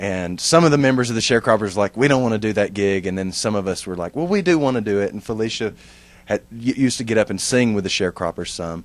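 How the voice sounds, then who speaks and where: With a Texan accent, the speaker shows ordinary pitch variation. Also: man. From East Texas, near Tyler. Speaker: musician, band singer. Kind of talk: interview. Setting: recording studio.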